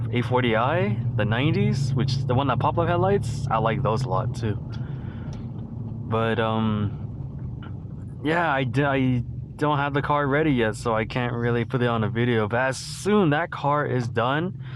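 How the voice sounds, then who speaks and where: There are hardly any pauses in this fairly slow speech with ordinary pitch variation, set against noticeable background noise. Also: man, medium pitch for a man. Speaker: car enthusiast YouTuber. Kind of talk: casual talk while driving. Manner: hesitant, stuttering.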